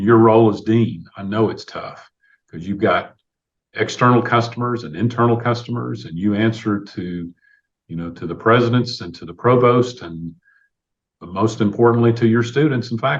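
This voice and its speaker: A voice with a Tennessee accent, its loudness swinging widely. The pace is moderate and the pitch varies in an ordinary way. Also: man, medium pitch for a man. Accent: US Southern (Tennessee). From Tennessee, Clarksville. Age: 60s. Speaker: city mayor, university alumnus. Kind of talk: podcast interview. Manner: conversational, filler-heavy.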